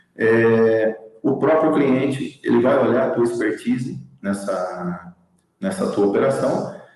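At a very slow pace and very even loudness, a man speaks with audible room echo. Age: 40s. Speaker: logistics operations manager. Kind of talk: interview.

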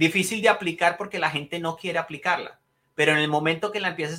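A man's high-pitched voice, bright and sharp in tone, at a fairly quick pace. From Colombia. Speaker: leadership trainer. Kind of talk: interview.

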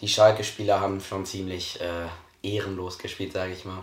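A man's fairly low, monotone voice with flat intonation and audible room echo. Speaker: podcast co-host. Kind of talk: casual chat.

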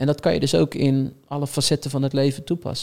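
Pitched at a medium level, a man's voice races along at a very fast pace. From Netherlands, Rotterdam. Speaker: talent manager. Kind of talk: podcast interview.

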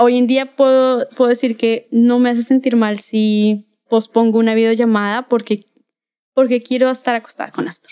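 With a Bogotá accent, a woman speaks at a moderate pace in a high pitch, her dark, mellow tone set in monotone, flat intonation. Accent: Colombian, Bogotá. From Bogotá, Colombia. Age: 20s. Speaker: graphic designer and illustrator. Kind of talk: casual chat.

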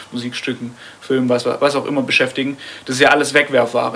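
A man rattles off his words very fast while noticeable background noise fills the clip. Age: 20s. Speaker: podcast co-host, musician and software developer. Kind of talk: casual chat. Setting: studio. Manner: halting.

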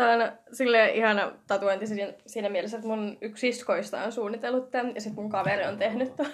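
A woman's plain, everyday voice, fairly high in pitch, at a fairly quick pace with fairly even intonation. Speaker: podcast host. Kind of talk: casual chat. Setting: home.

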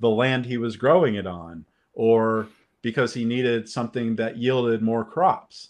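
A man talks with a Californian accent. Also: quiet background. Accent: Californian American English. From Los Angeles. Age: 50s. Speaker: film critic and podcaster. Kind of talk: casual chat.

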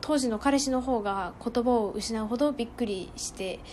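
Using an ordinary speaking voice, a woman talks at a moderate pace with a fairly high pitch and ordinary pitch variation. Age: 20s. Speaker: podcaster. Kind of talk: solo monologue. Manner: formal.

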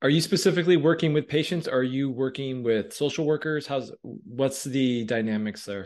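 With an unremarkable speaking voice, a man talks at a moderate pace with hardly any pauses, his fairly high pitch showing ordinary pitch variation over a quiet background. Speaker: podcast host. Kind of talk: casual interview.

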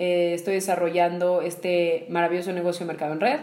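The speaker has a Mexican accent, and room echo is audible. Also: woman. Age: 20s. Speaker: podcast co-host, entrepreneur. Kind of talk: casual conversational podcast.

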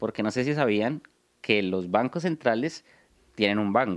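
A man's voice in a Bogotá accent with very wide pitch swings, in a very clean recording with a silent background and a dry, close sound with no echo. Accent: Colombian Spanish (Bogotá). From Bogotá, Colombia. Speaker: podcast co-host, investor. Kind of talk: casual chat.

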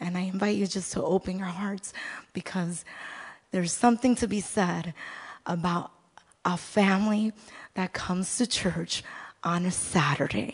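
Somewhat breathy, a woman speaks at a fairly slow pace with a medium pitch and ordinary pitch variation. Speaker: pastor's wife. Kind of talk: sermon.

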